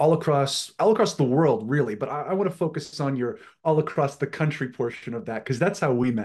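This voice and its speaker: A man speaks at a fairly high pitch and a fairly quick pace, somewhat breathy and with lively intonation. The background is quiet. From Atlantic Canada. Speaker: podcast host. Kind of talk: casual chat.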